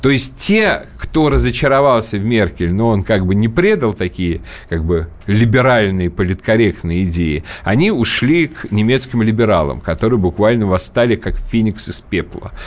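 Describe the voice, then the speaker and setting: A man talks at a fairly low pitch and a moderate pace in a plain, everyday voice. His intonation is lively. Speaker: political commentator and radio host. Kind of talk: radio talk show discussion. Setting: radio studio. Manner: fluent, talkative, opinionated.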